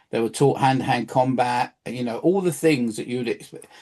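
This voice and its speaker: A man speaks with a London accent. His pitch varies in an ordinary way. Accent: English (southern, London area). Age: 60s. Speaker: local history presenter. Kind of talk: casual chat. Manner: halting.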